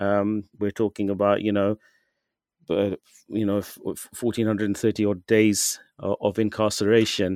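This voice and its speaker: A man with a British accent speaks at a fairly slow pace in a fairly low pitch, his intonation monotone and flat, the sound dry and close with no echo. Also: very clean recording, silent background. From UK. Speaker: writer on Sikh issues. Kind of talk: interview. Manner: halting, many fillers.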